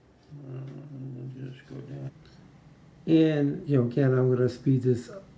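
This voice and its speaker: A man's dark, mellow voice, somewhat breathy, at a fairly slow pace. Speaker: guitar repair technician. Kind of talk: tutorial. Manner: mumbling; casual, rambling with fillers.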